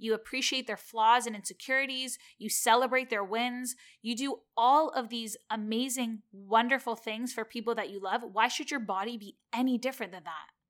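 In a very clean recording with a silent background, a woman with a Canadian accent and an ordinary speaking voice talks at a moderate pace with hardly any pauses, her fairly high pitch following fairly even intonation as her loudness swings widely. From Canada. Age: 30s.

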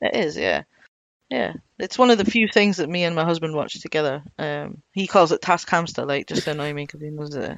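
A woman speaks with a Scottish accent in a very deep, low pitch, with ordinary pitch variation. She talks at a fairly quick pace, and her loudness swings widely. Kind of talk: casual chat.

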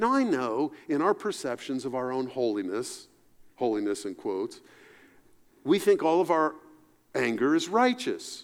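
A man with an American accent, moderate pace, very wide pitch swings and long, frequent pauses, in a very clean recording with a silent background. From US South, Appalachia. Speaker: pastor. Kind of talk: sermon.

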